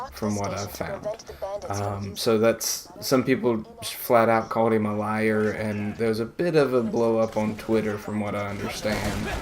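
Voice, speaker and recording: Against noticeable background noise, a man talks at a fairly slow pace with fairly even intonation. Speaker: gaming YouTuber. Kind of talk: gameplay commentary. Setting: recording while playing a video game. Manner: halting, distracted while playing.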